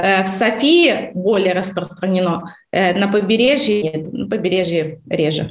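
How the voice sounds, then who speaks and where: A woman with an ordinary speaking voice speaks at a medium pitch and a fairly slow pace, with ordinary pitch variation. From Baltic states. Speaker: real estate company head. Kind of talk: interview.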